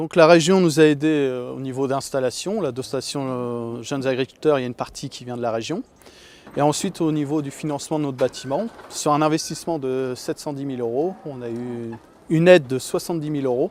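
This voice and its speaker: A man with a fairly high pitch talks fairly quickly, his pitch varying in an ordinary way. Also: big swings in loudness. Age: 30s. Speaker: dairy farmer. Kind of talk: interview. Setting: on a farm. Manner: hesitant, many fillers.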